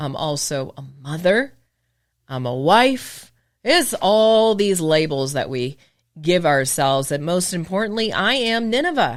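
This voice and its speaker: Very clean recording, silent background. A woman speaks at a fairly slow pace with very wide pitch swings. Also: fairly low pitch for a woman. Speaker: podcast host, business owner, former broadcaster. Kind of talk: casual podcast monologue. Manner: occasionally slips into polished broadcast delivery.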